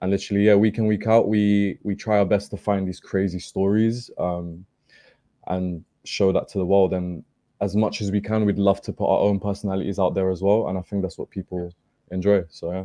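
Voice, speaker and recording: Against a quiet background, a man with a British accent delivers fairly quick, monotone speech in a dark, mellow tone at a fairly low pitch. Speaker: football podcaster, guest. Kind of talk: casual chat. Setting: studio.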